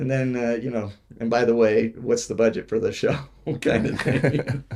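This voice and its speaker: Against noticeable background noise, a man speaks at a medium pitch and moderate pace with fairly even intonation. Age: 60s. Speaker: stunt coordinator. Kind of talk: interview. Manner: halting.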